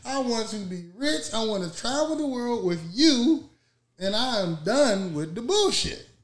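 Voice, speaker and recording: A man speaks at a fairly slow pace in a high voice, his animated delivery swinging very widely in pitch, with audible echo in the room. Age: 40s. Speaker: podcast co-host. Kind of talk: casual chat.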